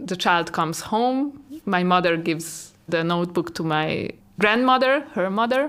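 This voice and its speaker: A woman at a medium pitch and a fairly slow pace, on a very clean recording with a silent background. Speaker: artist and art teacher. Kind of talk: interview monologue. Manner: loud.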